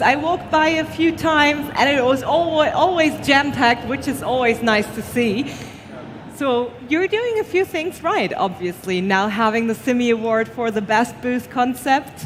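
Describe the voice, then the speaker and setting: Over noticeable background noise, a woman speaks at a moderate pace in a high voice with very wide pitch swings. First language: not English. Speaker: awards show presenter. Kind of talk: live award ceremony hosting. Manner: halting.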